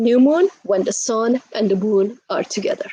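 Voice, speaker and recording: A woman's high-pitched voice at a very slow pace. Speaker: astrology channel host. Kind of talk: casual astrology talk.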